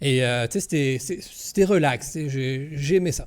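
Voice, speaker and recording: A man with a Quebec accent talks at a fairly quick pace and fairly high pitch. The recording is very clean, with a silent background. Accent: Québécois French. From Quebec, Gaspésie region. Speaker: content creator, streamer. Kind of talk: interview. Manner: hesitant, many fillers.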